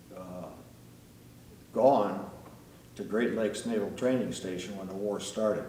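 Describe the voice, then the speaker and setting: The speaker has an Upper Midwest accent and talks at a fairly slow pace with fairly even intonation. Audible room echo surrounds the voice. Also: man. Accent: Upper Midwest American. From US Midwest, northeast Iowa. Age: 80s+. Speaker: retired air force pilot. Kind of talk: interview storytelling.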